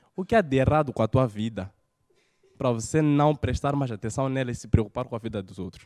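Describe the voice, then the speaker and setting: A man speaks at a fairly quick pace in an animated tone, his loudness swinging widely. His pitch is medium with ordinary variation, and the background is quiet. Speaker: stand-up comedian. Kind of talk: stand-up comedy. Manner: animated, punchy delivery with rhetorical jokes. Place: studio. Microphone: handheld.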